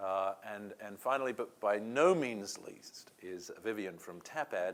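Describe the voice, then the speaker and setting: A man's fairly low voice at a fairly slow pace, with ordinary pitch variation and big swings in loudness. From England. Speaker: panel moderator. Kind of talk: panel discussion.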